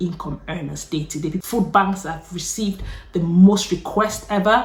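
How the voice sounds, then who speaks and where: Her voice sits at a medium pitch with ordinary pitch variation. The woman sounds animated. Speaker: YouTuber. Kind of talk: casual chat. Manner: fast.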